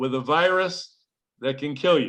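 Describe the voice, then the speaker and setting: Over a quiet background, a man speaks at a moderate pace in a bright, sharp tone with ordinary pitch variation. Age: 70s. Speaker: health products presenter. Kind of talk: online meeting presentation. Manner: animated.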